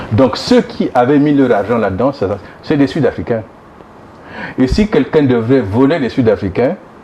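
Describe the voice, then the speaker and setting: Against noticeable background noise, a man of medium pitch speaks at a moderate pace with lively intonation. He leaves long, frequent pauses. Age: 60s. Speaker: former government minister, opposition politician. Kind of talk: interview. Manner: halting with repeated false starts.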